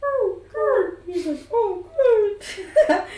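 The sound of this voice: With a slight echo, someone performs a put-on character voice at an extremely high pitch.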